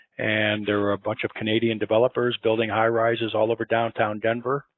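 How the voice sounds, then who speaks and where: Monotone, flat intonation from a man with an American accent, medium pitch and a fairly quick pace. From Chicago, US Midwest. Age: 60s. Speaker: building engineering consultant. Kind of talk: interview.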